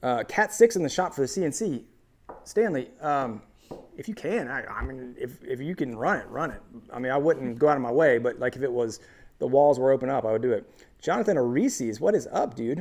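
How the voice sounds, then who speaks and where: A man's fairly high voice with a Midwestern American accent and lively intonation. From US Midwest. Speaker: woodworking YouTuber. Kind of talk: live stream chat.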